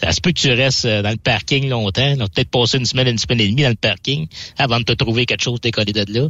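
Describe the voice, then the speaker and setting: A man's medium-pitched voice at a very fast pace, with ordinary pitch variation and very even loudness. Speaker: freight broker. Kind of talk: casual chat. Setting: studio.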